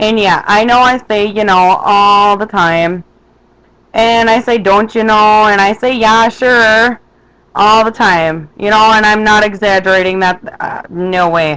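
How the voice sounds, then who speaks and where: A woman speaks with a Minnesotan accent at a fairly slow pace. Her tone is bright and sharp. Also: fairly high pitch for a woman. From Minnesota, west central. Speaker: vlogger. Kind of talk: casual vlog monologue. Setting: webcam recording. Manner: animated.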